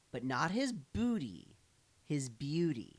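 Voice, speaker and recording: A put-on character voice at a low-to-middle pitch, fairly slow, with very wide pitch swings. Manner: playful, jokey.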